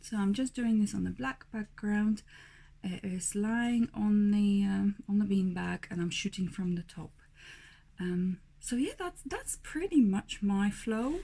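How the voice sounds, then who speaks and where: Speaking at a fairly slow pace, a woman has a dark, mellow tone, a somewhat breathy quality and ordinary pitch variation. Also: medium pitch for a woman. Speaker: newborn photographer. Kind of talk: video blog tutorial. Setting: home studio.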